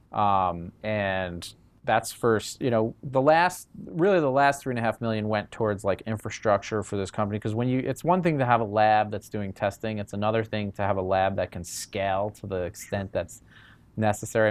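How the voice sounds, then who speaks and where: Here is a man with an ordinary speaking voice and a fairly low pitch. He keeps a moderate pace with ordinary pitch variation. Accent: American. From New York. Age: 30s. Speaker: cannabis lab founder and CEO. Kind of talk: interview. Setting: in the lab.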